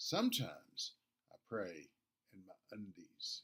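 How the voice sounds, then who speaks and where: A man with a Southern accent. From US South, Nashville, Tennessee. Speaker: pastor. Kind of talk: devotional talk.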